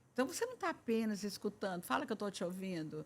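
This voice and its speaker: A woman at a medium pitch speaks with very wide pitch swings. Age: 70s. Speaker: family therapist and writer. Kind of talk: podcast interview.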